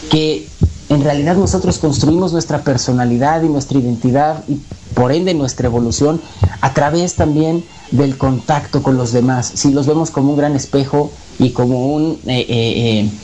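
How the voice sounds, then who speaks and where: Through noticeable background noise, a man with a fairly high pitch talks at a moderate pace with very even loudness and ordinary pitch variation. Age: 30s. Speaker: conspiracy talk guest. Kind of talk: radio interview. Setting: radio broadcast.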